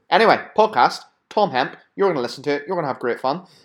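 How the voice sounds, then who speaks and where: A man speaks with a Belfast accent. The recording is very clean, with a silent background. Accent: Belfast, Northern Irish. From Belfast, Northern Ireland. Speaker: podcast host and fitness entrepreneur. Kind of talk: casual interview.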